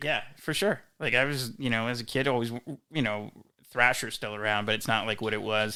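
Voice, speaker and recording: This is a man with an ordinary speaking voice. His pitch is medium and his intonation fairly even. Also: fairly quick pace. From Philadelphia area, Delaware. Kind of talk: interview answer, casual podcast talk.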